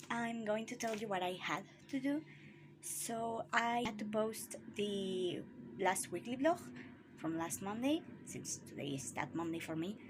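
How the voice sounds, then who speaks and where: A woman speaks in a somewhat breathy voice with very wide pitch swings. She leaves long, frequent pauses. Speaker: writing vlogger. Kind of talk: casual vlog.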